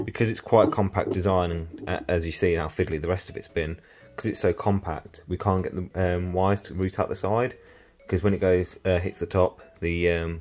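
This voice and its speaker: A man speaks with a very deep, low voice and fairly even intonation. Faint music plays in the background. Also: fairly quick pace. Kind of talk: tutorial. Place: workshop. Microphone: phone near.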